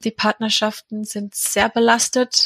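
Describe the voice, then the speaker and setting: A woman in an English accent, fairly high in pitch, at a fairly slow pace with monotone, flat intonation, in a dry, close sound with no echo. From England. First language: English (speaking German). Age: 40s. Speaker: charity founder and mother of a sick child. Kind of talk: personal interview. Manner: hesitant, many filler sounds.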